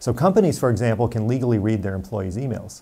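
The man's dark, mellow tone comes with an American accent. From Romania, then US. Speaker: tech company founder, former HR executive; interviewee. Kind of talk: interview monologue. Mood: earnest, firm on privacy. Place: office. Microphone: lapel.

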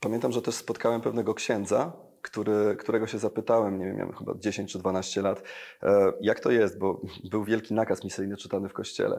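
A man speaks at a fairly quick pace in a fairly low pitch against a quiet background. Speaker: engineer and evangelist, worship singer; evangelist. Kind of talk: interview testimony. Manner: energetic. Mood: warm, personal testimony. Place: studio. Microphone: lapel.

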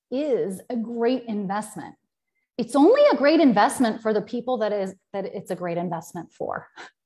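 Lively intonation at a moderate pace against a quiet background. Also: woman. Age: 40s. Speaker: business coach. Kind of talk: live-stream talk. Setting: live video stream. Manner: casual, filler-heavy. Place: home room. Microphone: earbuds.

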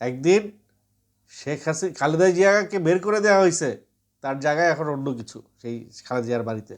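This man has a normal speaking voice, fairly high in pitch. His intonation is lively, and his loudness swings widely. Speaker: political commentary vlogger. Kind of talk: monologue to camera.

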